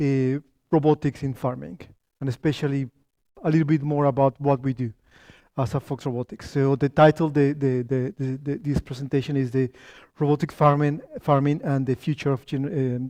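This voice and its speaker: A man with a Spanish accent, fairly high pitch, dark and mellow tone, fairly even intonation and fairly quick pace, in a dry, close sound with no echo over a quiet background. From Colombia. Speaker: company founder and tech lead giving a talk. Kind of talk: lecture. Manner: halting, many fillers and restarts.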